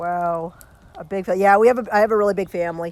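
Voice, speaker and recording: A woman talks at a moderate pace with fairly even intonation. The recording is very clean, with a silent background. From Canada, Kingston Ontario. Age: 40s. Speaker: live streamer. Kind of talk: casual chat. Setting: outdoors by a fire.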